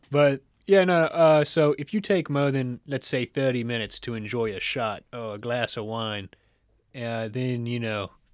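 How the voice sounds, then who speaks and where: A man with a Kentucky accent speaks at a medium pitch and moderate pace with ordinary pitch variation, on a very clean recording with a silent background. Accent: Kentucky Southern American. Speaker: podcast co-host. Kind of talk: casual chat.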